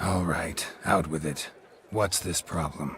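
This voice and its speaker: A man puts on a raspy character voice with a very deep, low pitch and fairly even intonation. He talks at a fairly slow pace over clear background noise. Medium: video game. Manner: terse, clipped, dry.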